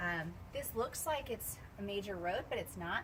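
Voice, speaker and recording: A quiet woman's voice at a medium pitch and moderate pace, against noticeable background noise. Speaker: travel and product reviewer. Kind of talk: casual walkthrough video tour. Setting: hotel room and patio. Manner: animated; quieter, lowered voice outdoors.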